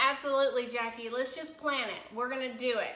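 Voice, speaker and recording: With a strong Tennessee accent, a woman projects a raised, high-pitched voice at a moderate pace, amid audible room echo and noticeable background noise. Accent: Southern US (Tennessee), strong. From US South, Chattanooga, Tennessee. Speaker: cooking livestream host. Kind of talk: live cooking stream chat. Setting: home kitchen livestream.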